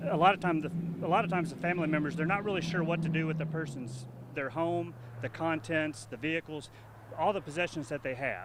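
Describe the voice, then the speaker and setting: A very fast, fairly high-pitched man amid noticeable background noise. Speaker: auctioneer. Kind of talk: TV interview. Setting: on location at auction site.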